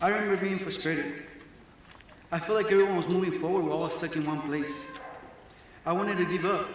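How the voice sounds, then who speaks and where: With a Mexican accent, a man speaks at a fairly quick pace in a high voice with fairly even intonation, amid noticeable background noise and audible room echo. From Mexico, moved to Arizona at ten. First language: Spanish. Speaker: graduating student speaker. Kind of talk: graduation speech. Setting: stage with audience.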